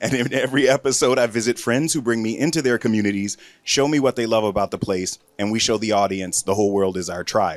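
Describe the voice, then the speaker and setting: A man with an American accent talks at a very fast pace with hardly any pauses, his medium pitch showing ordinary variation, in a very clean recording with a silent background and a dry, close sound with no echo. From US South, Florida. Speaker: panel moderator and film producer. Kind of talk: panel discussion. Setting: stage with audience. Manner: loud.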